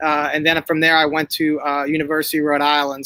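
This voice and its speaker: In a Northeastern US accent, a man speaks at a fairly quick pace with a fairly high pitch and a bright, sharp tone, recorded in dry, close sound with no echo. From Northeast Pennsylvania. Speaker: basketball coach. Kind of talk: interview. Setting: livestream. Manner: halting, many fillers and repeats.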